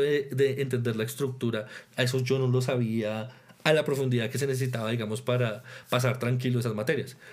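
A man's medium-pitched voice, flat and monotone, at a fairly quick pace with audible room echo. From Colombia, Tolima and Boyacá. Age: 20s. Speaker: orchestra conductor and percussionist. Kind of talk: interview.

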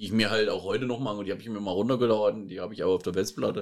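Monotone, flat intonation marks the fairly low voice of a man as he talks. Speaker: podcast co-host. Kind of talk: casual chat. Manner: quiet.

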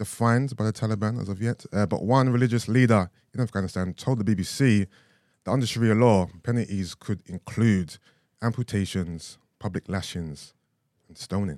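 A man with a London accent speaks at a moderate pace and a medium pitch, his pitch varying in an ordinary way and his loudness swinging widely, in a dry, close recording with no echo that is very clean over a silent background. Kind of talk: casual chat.

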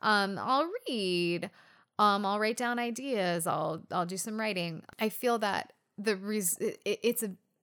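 Set against a silent background in a very clean recording, a woman with an American accent speaks at medium pitch with ordinary pitch variation in a plain, everyday voice. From US West Coast. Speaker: podcast co-host. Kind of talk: casual chat.

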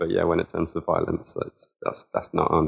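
A man with a southern English accent at a fairly quick pace. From Southampton, southern England. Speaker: football fan. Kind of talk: casual chat.

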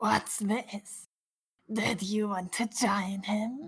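A raspy, female-sounding put-on character voice at a medium pitch, delivered at a very slow pace. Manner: gleeful, mocking.

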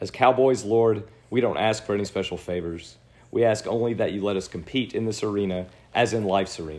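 A man has an ordinary speaking voice with a fairly low pitch. He talks at a fairly quick pace with ordinary pitch variation. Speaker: podcast host. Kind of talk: fervent prayer reading aloud; casual conversational storytelling. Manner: solemn, earnest, reverent delivery.

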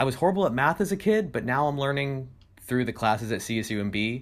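The speaker talks at a very fast pace with a West Coast accent and lively intonation. The recording is very clean, with a silent background. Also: man. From California, Monterey. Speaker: college student and streamer. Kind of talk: casual chat.

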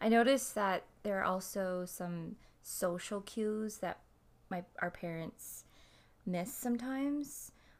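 A woman speaks in a plain, everyday voice at medium pitch. Her pitch varies in an ordinary way, and her pace is fairly slow. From Canada. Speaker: podcast co-host. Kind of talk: casual chat.

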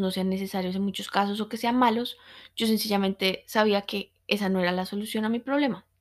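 Monotone, flat intonation in a woman's voice of medium pitch. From Colombia. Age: 20s. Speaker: podcast host, meditation teacher. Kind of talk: personal testimony. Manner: hesitant, with fillers and repetitions.

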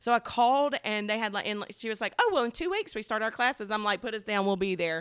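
A woman's fairly high, animated voice in an Alabama accent at a very fast pace. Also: ordinary pitch variation. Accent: Southern US (Alabama). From US South, Alabama. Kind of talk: casual faith conversation.

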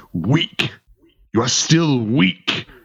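The speaker uses a put-on character voice that growls. Its pitch sits low-to-middle. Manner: growling.

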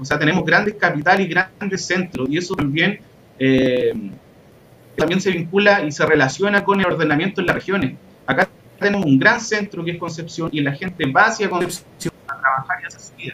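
The man's pitch is high, with ordinary variation. He speaks at a fairly quick pace, with big swings in loudness. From Chile, Hualpén (Biobío). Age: 30s. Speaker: history teacher and environmental activist. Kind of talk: online panel discussion.

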